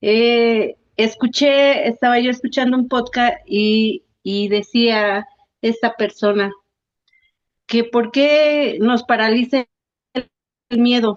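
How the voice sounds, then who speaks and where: Delivered at a very slow pace, the speech has long, frequent pauses and fairly even intonation. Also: woman, fairly high pitch for a woman. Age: 60s. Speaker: workshop participant. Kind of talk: casual chat. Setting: video call. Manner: halting.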